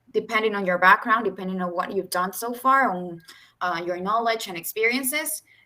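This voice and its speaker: A woman speaks in a Spanish accent at a moderate pace with a bright, sharp tone. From Mexico and El Salvador. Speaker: youth mapping regional ambassador. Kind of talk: webinar presentation. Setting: video call.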